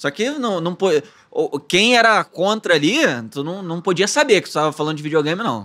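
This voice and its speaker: Against a quiet background, the speaker's bright, sharp tone moves through lively intonation at a moderate pace. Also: man, high pitch for a man. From Brazil, Petrópolis (Rio de Janeiro state). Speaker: actor and content creator. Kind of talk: casual interview chat. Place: studio. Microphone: studio mic.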